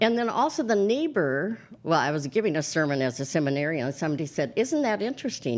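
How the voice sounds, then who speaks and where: A woman with an American accent speaks at a very fast pace in a fairly low voice. Her pitch swings very widely. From US Upper Midwest (Minnesota). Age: 70s. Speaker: priest. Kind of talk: interview conversation.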